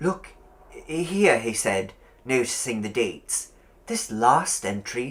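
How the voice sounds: The voice heard here is a natural reading voice.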